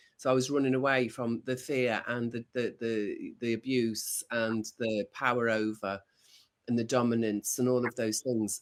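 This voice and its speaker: Over a very clean recording with a silent background, a man in a normal speaking voice talks at medium pitch and a moderate pace with fairly even intonation. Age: 60s. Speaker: video podcast co-host. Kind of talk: casual chat.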